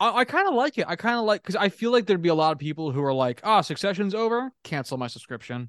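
Talking very fast with hardly any pauses and very wide pitch swings, the voice has a dry, close sound with no echo against a quiet background. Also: man, high pitch for a man. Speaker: sports podcast co-host. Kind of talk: casual chat.

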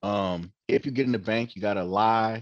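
An ordinary speaking voice from a man with an American accent, at a moderate pace with fairly even intonation over a quiet background. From Oakland, California. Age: 40s. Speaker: dispensary owner. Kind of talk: casual interview.

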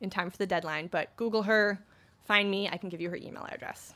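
The woman rattles along at a very fast pace, her pitch varying in an ordinary way. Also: very clean recording, silent background. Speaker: podcast marketing manager. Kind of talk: conference talk. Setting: stage with audience. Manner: casual, filler-heavy.

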